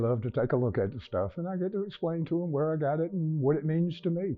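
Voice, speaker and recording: A man talking very fast with lively intonation. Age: 60s. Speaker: retired-age father, collector. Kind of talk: interview. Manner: halting.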